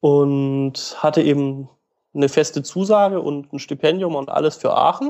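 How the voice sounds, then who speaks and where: A man with a fairly high pitch speaks at a moderate pace with fairly even intonation, in an unremarkable speaking voice against a quiet background. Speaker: medical student. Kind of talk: casual interview.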